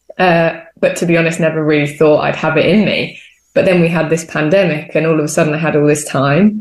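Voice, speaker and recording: A woman speaks at a fairly quick pace in a very deep, low voice, her intonation monotone and flat, her loudness very even, with audible room echo. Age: 20s. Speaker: theatre maker. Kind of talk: interview.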